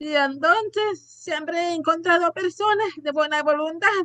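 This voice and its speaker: In a bright, sharp tone, a woman speaks at a fairly slow pace and an extremely high pitch. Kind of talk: casual panel chat.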